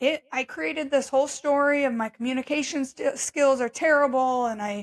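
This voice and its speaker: In a very clean recording with a silent background and a dry, close sound with no echo, a woman speaks at a high pitch and moderate pace with ordinary pitch variation. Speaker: podcast host. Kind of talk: solo podcast monologue. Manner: conversational, reflective.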